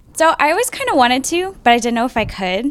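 A woman's speech moves at a fairly quick pace. Behind it, background noise is noticeable. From US, Air Force family, moved around. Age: 20s. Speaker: actress and model. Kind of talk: casual chat.

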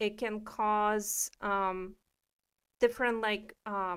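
At a very slow pace, a woman talks with medium pitch. The recording is very clean, with a silent background. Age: 30s. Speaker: wellness podcast co-host. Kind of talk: casual chat.

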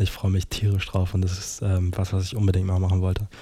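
A man speaks at a moderate pace. His dark, mellow tone is somewhat breathy. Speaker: podcaster. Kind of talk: casual monologue.

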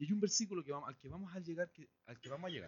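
A man's fairly high voice at a very fast pace, with an animated tone and lively intonation. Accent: Chilean. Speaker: guest preacher. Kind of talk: sermon.

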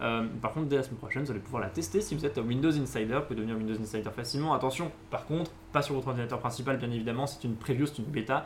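A man speaks with ordinary pitch variation around a medium pitch. His pace is very fast. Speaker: tech news show host. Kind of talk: casual tech news chat. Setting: studio, live stream.

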